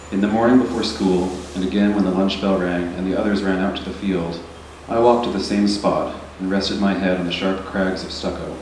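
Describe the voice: A soft-spoken man talks at a fairly quick pace with low pitch and a slightly mellow tone. His intonation is fairly even, and the room echo is audible.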